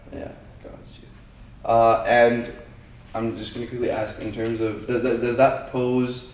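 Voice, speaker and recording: Flat, monotone intonation from a man amid noticeable background noise and audible room echo. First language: not English. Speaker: student podcast host. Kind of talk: podcast interview.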